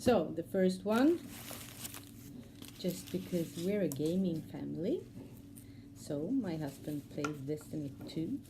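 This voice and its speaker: A woman with a Swedish accent, a very slow pace, audible room echo. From Sweden. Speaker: cross-stitch vlogger. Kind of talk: casual vlog talk. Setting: at home. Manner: halting, many fillers.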